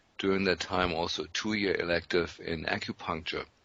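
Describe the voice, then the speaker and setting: A man's very deep, low voice, flat and monotone. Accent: German. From Germany. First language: German. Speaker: physician. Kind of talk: interview.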